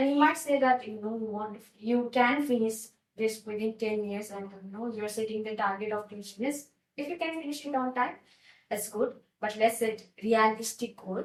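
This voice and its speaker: The speech comes in a Nepali accent at a moderate pace. Loudness swings a lot, while pitch varies in an ordinary way. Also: woman, fairly high pitch for a woman. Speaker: IELTS teacher. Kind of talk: tutorial.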